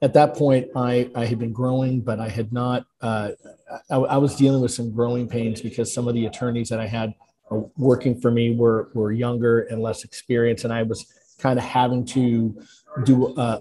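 Over light background noise, a man talks in a monotone, flat way with a dark, mellow, somewhat breathy tone. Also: moderate pace. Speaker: podcast guest, lawyer. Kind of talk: interview answer. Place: home room. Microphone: video call.

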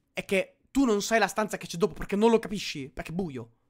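The voice belongs to a man. He talks at a very fast pace. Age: 20s. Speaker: gaming streamer. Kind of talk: live gameplay commentary. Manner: animated. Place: home room. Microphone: studio mic.

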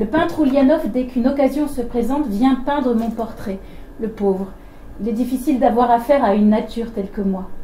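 Noticeable background noise surrounds a woman talking fairly quickly at a high pitch with ordinary pitch variation. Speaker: event co-moderator. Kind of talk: reading aloud. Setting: stage with audience.

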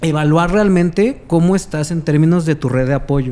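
This man's high voice moves at a fairly slow pace with ordinary pitch variation. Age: 20s. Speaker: communication analyst and content creator; podcast guest, communication analyst. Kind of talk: casual interview. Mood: serious, measured. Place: studio. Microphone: studio mic.

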